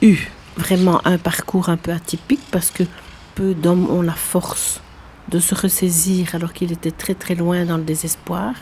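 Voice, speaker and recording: Fairly even intonation in a Belgian accent, with noticeable background noise. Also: woman. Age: 70s. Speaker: prison visitor and association president. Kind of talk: testimony.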